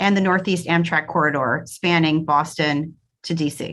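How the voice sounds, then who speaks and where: A woman with an American accent speaks in a fairly low pitch with a bright, sharp tone, on a very clean recording with a silent background. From Brooklyn, New York. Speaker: university advancement executive. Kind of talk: podcast interview.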